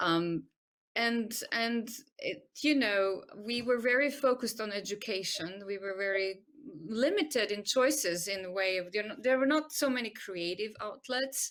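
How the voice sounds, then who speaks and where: With a Croatian accent, the speech unfolds at a fairly slow pace with ordinary pitch variation. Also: woman, fairly high pitch for a woman. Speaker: medical doctor and arts-in-health expert. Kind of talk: interview. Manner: hesitant, many fillers.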